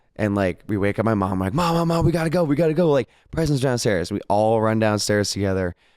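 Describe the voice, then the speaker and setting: Speaking at a very fast pace with hardly any pauses, a man with a medium pitch sounds animated, his pitch swinging very widely while his loudness stays very even. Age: 20s. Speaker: podcast co-host. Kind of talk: casual chat.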